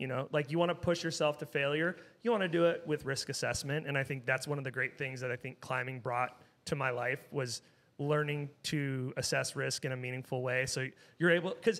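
Here a man talks with a West Coast American accent at a fairly quick pace. His pitch is fairly high, with ordinary variation. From Southern California. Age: 40s. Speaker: brewery co-founder; podcast guest. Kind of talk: casual chat. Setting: studio. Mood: enthusiastic storytelling. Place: shop. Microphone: studio mic.

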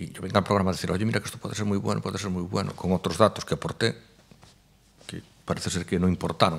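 A man speaks at a very fast pace in a very deep, low pitch. His pitch varies in an ordinary way. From Galicia, rural Spain. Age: 40s. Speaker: fashion designer; podcast guest. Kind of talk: interview conversation. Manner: halting, repeats words. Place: studio. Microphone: studio mic.

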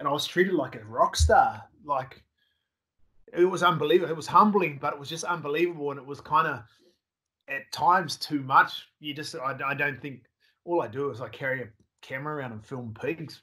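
With an Australian accent, a man speaks at a fairly quick pace in a fairly high, bright, sharp voice, with big swings in loudness and long, frequent pauses against a quiet background. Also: ordinary pitch variation. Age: 40s. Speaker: hog hunting filmmaker; guest. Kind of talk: casual interview chat. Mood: animated, laughing storytelling. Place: home room.

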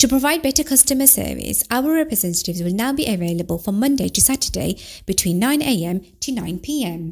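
Very wide pitch swings run through a somewhat breathy voice. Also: woman, fairly high pitch for a woman. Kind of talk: phone IVR automated call greeting.

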